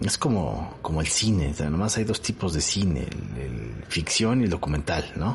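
Pitch swings very widely at a moderate pace, with a Mexican accent. Noticeable background noise sits behind the voice. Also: man, very deep, low pitch for a man. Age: 40s. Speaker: television professional and podcast host. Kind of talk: solo podcast monologue. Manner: casual, with frequent fillers and repetitions.

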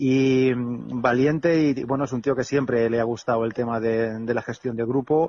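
With a plain, everyday voice, a man of medium pitch speaks at a moderate pace with fairly even intonation and hardly any pauses. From Spain, Alicante. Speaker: retired basketball player. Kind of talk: interview. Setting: phone call.

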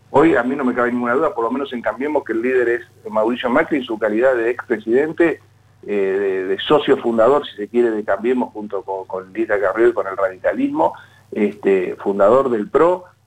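The man's pitch sits in the medium range and varies in an ordinary way. He talks at a fairly quick pace. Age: 60s. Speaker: mayor. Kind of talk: radio interview. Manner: halting.

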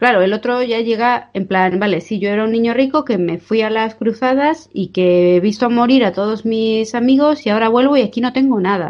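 Speaking at a fairly quick pace with hardly any pauses, a woman has a plain, everyday voice, fairly high in pitch, with ordinary pitch variation. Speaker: podcast co-host. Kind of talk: casual chat. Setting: remote recording.

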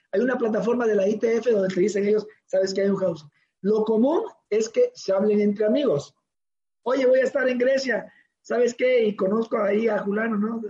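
His tone dark and mellow, a man speaks at a moderate pace with a high pitch and fairly even intonation. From Mexico, Oaxaca coast near Guerrero. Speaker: father of a professional tennis player. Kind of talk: interview.

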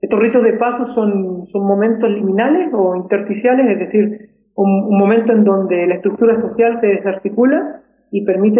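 Moderate pace from a man, high in pitch, with ordinary variation in it. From Argentina, Tucumán. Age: 30s. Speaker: researcher in cultural astronomy. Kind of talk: radio interview.

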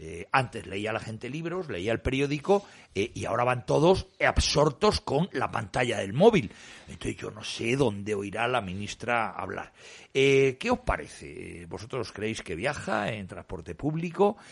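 At a fairly slow pace, a man with a medium pitch and vocal fry swings very widely in pitch and greatly in loudness. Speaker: radio host standing in for the director. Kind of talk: radio talk show panel discussion.

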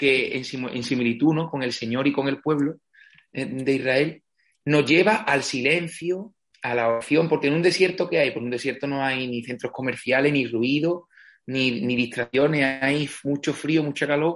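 A man with an ordinary speaking voice, fairly high in pitch, at a fairly slow pace, with ordinary pitch variation. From Spain, Andalusia (Villamartín, Cádiz). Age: 20s. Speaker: parish priest. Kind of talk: interview.

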